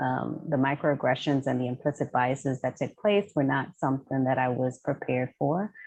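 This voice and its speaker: Very deep, low woman's voice in an American accent, with vocal fry, ordinary pitch variation, very even loudness, a moderate pace and hardly any pauses. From New York City. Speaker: professor and consultant. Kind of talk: interview.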